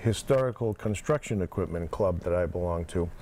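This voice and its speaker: Speaking in a Massachusetts accent, a man has a dark, mellow tone. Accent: New England (Massachusetts). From Plymouth, Massachusetts. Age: 60s. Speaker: former town selectman, construction equipment owner. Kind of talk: casual interview.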